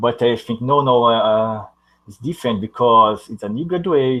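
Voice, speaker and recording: A man with a non-native accent speaks at a medium pitch. His pace is fairly slow. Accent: non-native English accent, noticeable. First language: Portuguese. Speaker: university student. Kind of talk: casual chat. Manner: halting.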